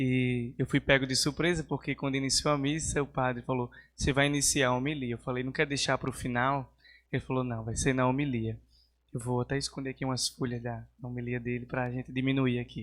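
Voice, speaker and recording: On a very clean recording with a silent background, a man with a northeastern Brazilian accent speaks at a medium pitch with monotone, flat intonation. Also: fairly quick pace. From Brazil, Northeast (Natal, Rio Grande do Norte). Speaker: seminarian. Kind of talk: homily. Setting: church.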